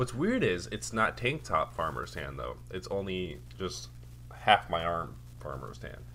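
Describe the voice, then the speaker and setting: A man with a very deep, low pitch and vocal fry talks at a fairly slow pace, with very wide pitch swings and big swings in loudness. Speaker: podcast co-host. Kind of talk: casual chat.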